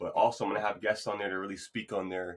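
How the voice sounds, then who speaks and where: Speaking at a fairly low pitch, the man uses monotone, flat intonation. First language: Spanish. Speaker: podcast host. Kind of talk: motivational monologue. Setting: remote podcast recording. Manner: fast.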